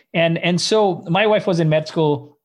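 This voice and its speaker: Speaking at a moderate pace with ordinary pitch variation, a man uses a normal speaking voice. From Canada, Indian background. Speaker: startup co-founder. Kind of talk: interview.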